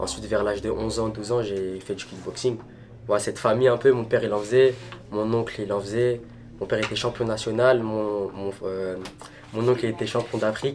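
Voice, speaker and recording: Over noticeable background noise, a man talks at a fairly quick pace. His intonation is flat and monotone. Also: medium pitch for a man. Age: 20s. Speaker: Muay Thai fighter. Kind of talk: documentary interview. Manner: halting.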